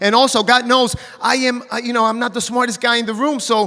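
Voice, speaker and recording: A man speaks in a raised, projected voice with an animated tone and an extremely high pitch. He goes at a very fast pace with music in the background. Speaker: network marketing distributor. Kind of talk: stage testimony. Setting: stage with audience.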